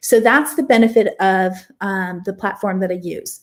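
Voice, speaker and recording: A woman talks in a somewhat breathy voice. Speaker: online coach and course creator. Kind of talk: live Q&A sales talk. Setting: live stream.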